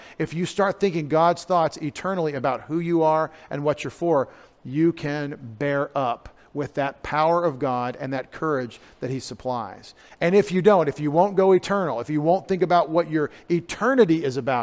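With an American accent, a man talks at a moderate pace and ordinary pitch variation. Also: fairly high pitch for a man. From US South. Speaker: pastor. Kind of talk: sermon. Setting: church.

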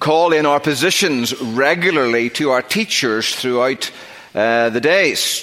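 Over noticeable background noise, a man with a Northern Irish accent talks with lively intonation at a fairly high pitch. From Northern Ireland. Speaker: preacher. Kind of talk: sermon. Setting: church.

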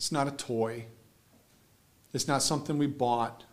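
A man speaks at a moderate pace, and audible room echo follows his voice. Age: 40s. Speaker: pastor. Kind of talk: sermon. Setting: church.

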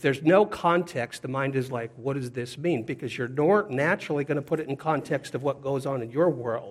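A man's unremarkable speaking voice with an American accent, fairly high in pitch with ordinary variation, at a fairly quick pace with hardly any pauses. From US Pacific Northwest. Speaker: preacher. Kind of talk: sermon.

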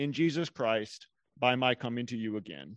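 A man's normal speaking voice, fairly slow, with lively intonation against a quiet background. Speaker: church leader. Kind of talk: scripture reading and prayer. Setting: church.

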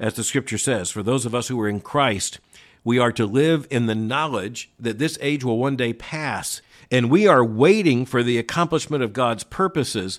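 A man talks at a fairly slow pace in an unremarkable speaking voice, medium in pitch with lively intonation. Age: 60s. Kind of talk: solo commentary and listener Q&A. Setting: remote location.

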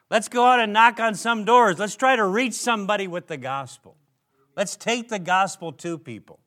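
A man's raised, projected, high voice, bright and sharp in tone, with lively intonation at a moderate pace, in a very clean recording over a silent background. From Minnesota, US Midwest. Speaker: preacher. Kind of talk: sermon. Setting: church.

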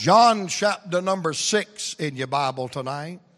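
With a Southern US accent, this man's voice moves through very wide pitch swings. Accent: Southern US (Georgia). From US South, Atlanta, Georgia. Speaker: preacher. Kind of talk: sermon. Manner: animated.

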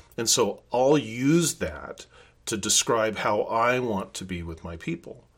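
In a very clean recording with a silent background, a man uses a normal speaking voice at medium pitch, with lively intonation and big swings in loudness. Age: 60s. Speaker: pastor. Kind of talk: sermon. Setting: office.

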